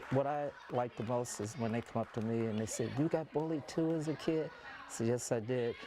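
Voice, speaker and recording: A plain, everyday voice from a man at medium pitch, with ordinary pitch variation and a fairly quick pace. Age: 60s. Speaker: children's author. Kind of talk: interview.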